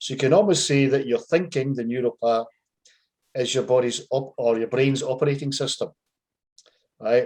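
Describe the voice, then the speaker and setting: With a Scottish accent, a man talks at a moderate pace with fairly even intonation and long, frequent pauses. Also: medium pitch for a man. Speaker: life coach. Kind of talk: casual explanatory chat.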